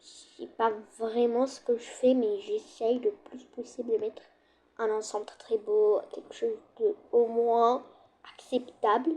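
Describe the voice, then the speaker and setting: A woman speaks at a very slow pace. Her pitch is high, with ordinary pitch variation. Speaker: gaming youtuber. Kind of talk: gameplay commentary. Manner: loud; casual, hesitant.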